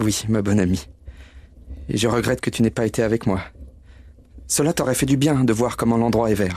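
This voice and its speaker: This man's voice has a warm, dark, mellow tone with vocal fry and a medium pitch. He talks at a fairly quick pace with very even loudness and long, frequent pauses. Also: ordinary pitch variation. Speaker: actor reading character Bob Cratchit. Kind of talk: dramatized audio reading of a literary tale. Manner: warm, emotional, earnest.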